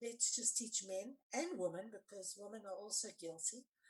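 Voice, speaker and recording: A woman talks with lively intonation in a plain, everyday voice. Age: 60s. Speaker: forgiveness coach and anti-violence activist. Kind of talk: podcast interview, personal testimony.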